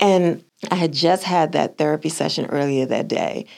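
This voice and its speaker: In an American accent, a woman talks with a very deep, low pitch. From US South. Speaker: author and speaker on faith and parenting. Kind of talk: casual interview conversation.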